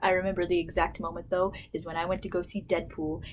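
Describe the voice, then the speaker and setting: Soft-spoken yet animated, a woman talks at a medium pitch. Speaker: YouTuber. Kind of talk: casual vlog storytelling. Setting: at home.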